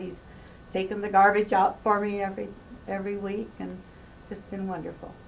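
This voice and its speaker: Audible room echo surrounds a woman speaking at a moderate pace. Her medium-pitched voice has monotone, flat intonation. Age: 70s. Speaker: hospice patient. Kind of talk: interview. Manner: halting.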